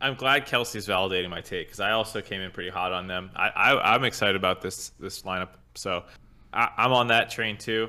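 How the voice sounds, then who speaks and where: A man with an unremarkable speaking voice at a fairly low pitch, moving at a fairly quick pace with fairly even intonation. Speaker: podcast co-host. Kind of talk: casual chat.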